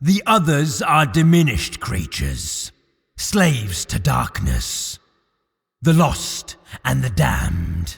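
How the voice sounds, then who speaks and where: A put-on character voice, raspy throughout. The pace is fairly slow. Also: man, medium pitch for a man. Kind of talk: audio drama. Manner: persuasive, flattering.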